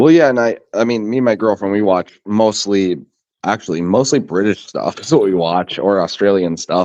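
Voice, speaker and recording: In an American accent, a man talks at a moderate pace in a fairly low pitch, an ordinary speaking voice. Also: ordinary pitch variation, dry, close sound with no echo. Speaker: livestream guest. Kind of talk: casual chat.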